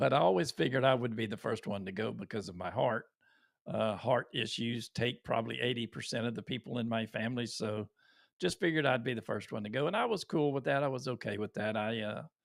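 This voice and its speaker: Very fast speech from a man with a Texan accent at a medium pitch. The recording is very clean and dry, close and echo-free, with a silent background. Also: ordinary pitch variation. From Texas. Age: 60s. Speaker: YouTuber. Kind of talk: live stream talk. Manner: halting.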